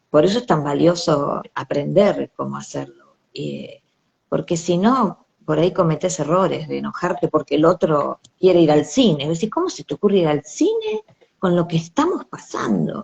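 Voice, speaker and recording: A woman speaks at a moderate pace in a Rioplatense accent. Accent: Argentine Rioplatense Spanish. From Argentina. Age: 60s. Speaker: bereaved mother. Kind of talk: interview. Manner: halting.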